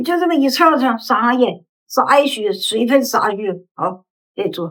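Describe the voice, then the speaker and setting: A woman speaks with a high pitch at a moderate pace. Her pitch swings very widely. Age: 80s+. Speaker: rural grandmother. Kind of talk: casual family conversation.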